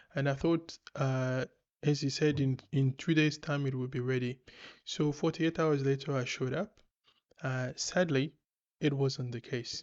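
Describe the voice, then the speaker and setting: A man's fairly high-pitched voice with a Congolese accent, fairly even intonation and a moderate pace against a quiet background. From DR Congo. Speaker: podcast host. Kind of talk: casual commentary. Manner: hesitant, many fillers.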